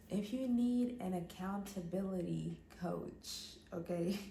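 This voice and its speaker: A woman with a medium pitch and ordinary pitch variation speaks in a dark, mellow, somewhat breathy tone. Room echo is audible. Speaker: fitness and mental health vlogger. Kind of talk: casual vlog monologue.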